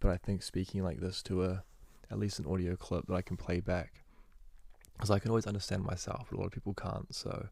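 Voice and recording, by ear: With vocal fry and a slightly mellow tone, a man speaks at a low pitch and a fairly quick pace with little pitch movement.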